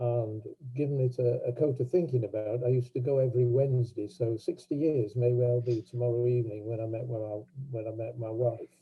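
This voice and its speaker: A somewhat breathy man's voice at medium pitch, with fairly even intonation. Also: fairly quick pace. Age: 80s+. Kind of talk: personal talk at online event. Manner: halting.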